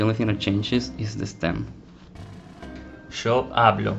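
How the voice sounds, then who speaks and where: Music plays in the background as a man speaks in a fairly low pitch. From Argentina. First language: Spanish. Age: 20s. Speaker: language teacher. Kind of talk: language lesson narration.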